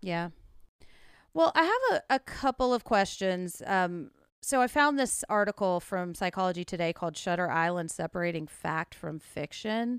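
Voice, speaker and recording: In a Southern US accent, the voice moves at a moderate pace with lively intonation. The sound is dry and close, with no echo. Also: woman, medium pitch for a woman. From US South. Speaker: podcast host. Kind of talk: casual chat.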